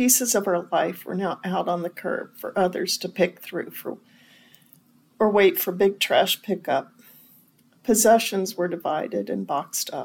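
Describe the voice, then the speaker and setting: At a fairly slow pace, a woman with a medium pitch and ordinary pitch variation speaks with vocal fry. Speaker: church member sharing faith story. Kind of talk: reading aloud a written personal faith memoir, then answering questions. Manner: earnest, reflective, measured reading of a painful life passage; slightly halting, repeats and corrects words while reading.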